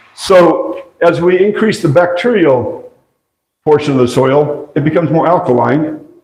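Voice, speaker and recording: A man speaks with a high pitch and lively intonation at a fairly slow pace. Room echo is audible. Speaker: agroforestry presenter. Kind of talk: lecture.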